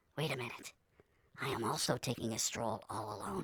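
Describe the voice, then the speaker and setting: A female-sounding cartoonish character voice speaks at a moderate pace. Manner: self-talking, rambling.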